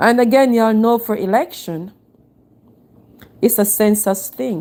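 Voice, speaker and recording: A woman's fairly high-pitched voice with a dark, mellow tone, at a fairly slow pace with ordinary pitch variation. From Jamaica. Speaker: actress and live streamer. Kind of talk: casual live stream talk.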